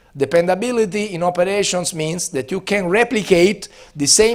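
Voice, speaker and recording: Recorded very cleanly against a silent background, a man with an Italian accent talks at a moderate pace in a high pitch with lively intonation. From Italy. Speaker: business school professor. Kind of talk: lecture. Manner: hesitant, many fillers.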